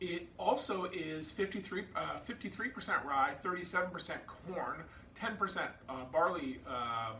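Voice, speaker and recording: Light background noise and noticeable room echo around a male speaker. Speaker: whiskey reviewer. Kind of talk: product review vlog; casual review chat. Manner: slow, halting with fillers. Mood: relaxed, enthusiastic. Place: home room. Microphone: phone near.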